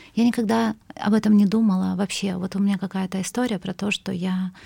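Somewhat breathy with a dark, mellow tone, a woman speaks at a medium pitch and a fairly quick pace. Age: 40s. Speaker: cultural manager. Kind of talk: interview. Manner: halting, many fillers.

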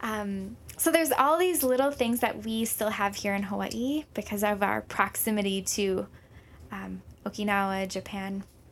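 This is a plain, everyday voice, a woman's at medium pitch. She keeps a moderate pace and ordinary pitch variation in a very clean recording with a silent background. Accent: American. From Minnesota. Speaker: health and wellness program lead. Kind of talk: radio interview.

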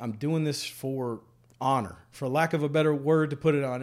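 Fairly high male voice with a Louisiana accent on a very clean recording, silent background. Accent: Louisiana Southern. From central Louisiana. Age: 40s. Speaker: congressional candidate. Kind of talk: interview. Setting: barbershop.

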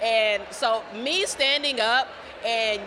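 A woman with an American accent, fairly high in pitch and fairly even in intonation, over noticeable background noise. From Dayton, Ohio. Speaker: journalist, editor. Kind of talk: interview conversation.

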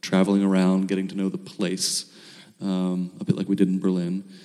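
A man speaks in an unremarkable speaking voice with an American accent. His pace is moderate. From US, Baltimore. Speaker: filmmaker. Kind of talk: interview.

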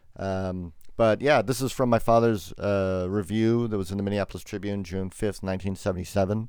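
Here is a man with an unremarkable speaking voice. He talks at a fairly quick pace and a fairly low pitch. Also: very clean recording, silent background. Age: 50s. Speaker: film critic. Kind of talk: casual chat.

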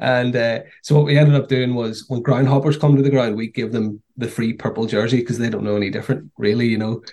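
A man speaks very fast with hardly any pauses. His medium-pitched voice has fairly even intonation. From Newry, Northern Ireland. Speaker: documentary producer. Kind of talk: interview.

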